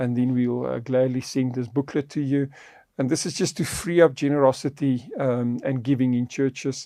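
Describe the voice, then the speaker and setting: With a South African accent, a man speaks at a moderate pace and medium pitch, his tone dark and mellow and his intonation fairly even, in a very clean recording with a silent background. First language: Afrikaans. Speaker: podcast host on faith and finance. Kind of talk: podcast conversation.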